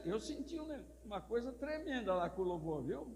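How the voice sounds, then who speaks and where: A man's voice carries audible room echo. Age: 70s. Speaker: pastor. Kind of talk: sermon.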